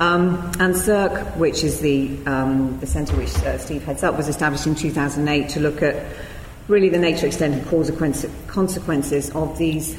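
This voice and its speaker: Woman with a British accent, against noticeable background noise. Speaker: event chair and professor. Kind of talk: lecture introduction and chairing. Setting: lecture hall with audience.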